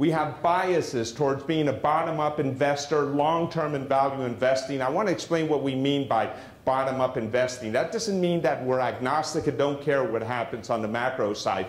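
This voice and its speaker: A man with a fairly high pitch speaks at a very even loudness with ordinary pitch variation and hardly any pauses, over noticeable background noise and audible room echo. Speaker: investment firm founder presenting. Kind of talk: seminar presentation. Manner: fast.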